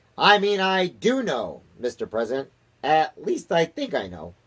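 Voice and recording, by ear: A man puts on a character voice with a fairly bright tone and a slightly husky edge, his pitch swinging very widely at a fairly slow pace. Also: fairly high pitch for a man.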